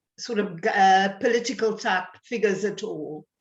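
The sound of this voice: A woman speaks at a fairly slow pace, with audible room echo around her. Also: medium pitch for a woman, ordinary pitch variation.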